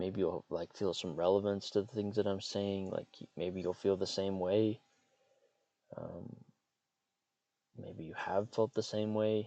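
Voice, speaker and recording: Long, frequent pauses break up a man's fairly slow speech. His intonation is monotone and flat. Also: fairly low pitch for a man. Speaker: podcaster and writer. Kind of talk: casual monologue. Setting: in a parked car. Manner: halting, many fillers and repeats.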